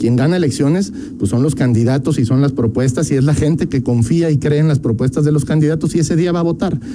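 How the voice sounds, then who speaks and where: At a very fast pace with hardly any pauses, a man speaks in a fairly high pitch with ordinary pitch variation. His loudness stays very even over noticeable background noise. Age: 30s. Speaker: politician, congressional candidate. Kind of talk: radio interview.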